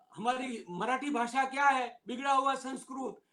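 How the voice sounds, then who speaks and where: Speaking with fairly even intonation, a man has an extremely high pitch. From Gujarat, India. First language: Gujarati (speaking Hindi). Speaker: retired civil servant and lawyer. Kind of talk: public talk. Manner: emphatic.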